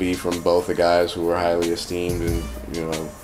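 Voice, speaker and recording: Music plays in the background. A man with an American accent talks at a fairly quick pace. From United States. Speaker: battle rap judge. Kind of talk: casual video verdict.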